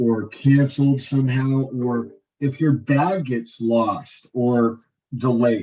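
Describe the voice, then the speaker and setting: This is a man with a medium-pitched, somewhat breathy voice. His intonation stays fairly even. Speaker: tour presenter at informational meeting. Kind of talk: informational presentation. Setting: meeting room with audience. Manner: halting, many repetitions.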